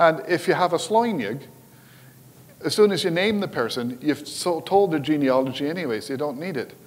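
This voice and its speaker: This man has a Scottish Highland accent. He talks at a moderate pace with lively intonation. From Scotland, Highlands. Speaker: Gaelic language educator and karate instructor. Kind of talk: conference presentation. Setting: stage with audience. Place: hall.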